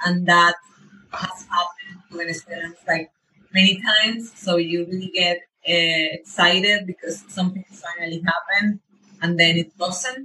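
A woman's fairly low voice with a Spanish accent, fairly even in intonation, at a moderate pace. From Venezuela. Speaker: runner. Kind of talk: interview.

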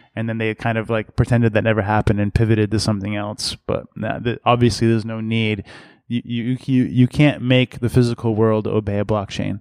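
With an American accent, the speaker goes at a fairly quick pace in a monotone, flat intonation, in a dry, close sound with no echo and a quiet background. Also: man, medium pitch for a man. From Massachusetts, US. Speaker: company executive. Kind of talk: interview. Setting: conference venue. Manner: repetitive false starts.

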